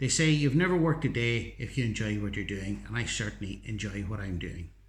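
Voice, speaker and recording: In a Northern Irish accent, a man speaks. His pitch swings very widely. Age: 60s. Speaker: teacher and YouTuber. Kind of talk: vlog monologue.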